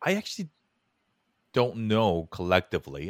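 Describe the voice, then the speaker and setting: A man with a Californian accent speaks at a moderate pace. The sound is dry and close with no echo, on a very clean recording with a silent background. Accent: American (Californian). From Korea, raised in Los Angeles. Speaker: podcast producer and creator. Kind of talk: casual interview.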